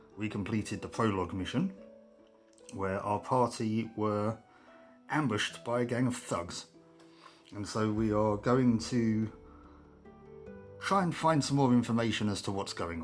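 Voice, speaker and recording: At a moderate pace with ordinary pitch variation, the speaker leaves long, frequent pauses while music plays in the background. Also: man, fairly low pitch for a man. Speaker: tabletop game player. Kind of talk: casual game playthrough narration.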